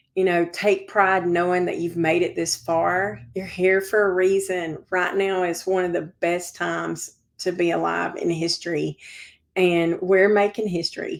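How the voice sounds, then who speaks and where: This woman has a Southern US accent and a fairly low pitch. Her intonation is monotone and flat, and her pace is fairly slow. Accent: Southern American. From Georgia, US South. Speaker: civic organizer and real estate broker. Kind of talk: interview.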